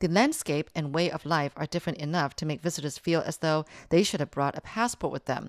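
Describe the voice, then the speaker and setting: A woman with an ordinary speaking voice talks at a moderate pace and a fairly low pitch. The recording is very clean, with a silent background and a dry, close sound with no echo. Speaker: radio news reporter. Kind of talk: light feature news report. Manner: breezy, upbeat and playful.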